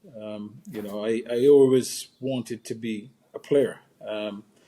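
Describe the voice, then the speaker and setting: A man speaks at medium pitch in a dark, mellow tone. His intonation is monotone and flat. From Barbados, rural St. Philip. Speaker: former cricketer, consultant and speaker. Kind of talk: interview conversation. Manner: hesitant, many fillers.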